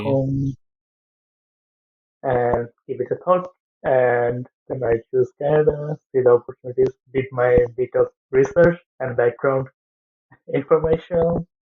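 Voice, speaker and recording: Speaking with a Bangladeshi accent, a man with a fairly high pitch moves at a fairly slow pace with fairly even intonation and long, frequent pauses. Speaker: aviation engineering student and trainee pilot. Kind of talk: interview answer.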